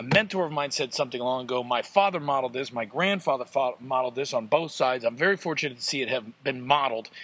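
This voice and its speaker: Very fast speech from a man at medium pitch, its pitch varying in an ordinary way. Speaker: podcast host. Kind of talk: energetic solo podcast rant. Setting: outdoors at hot springs, background noise. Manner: animated, fast, hyped-up; intense, emphatic, motivational.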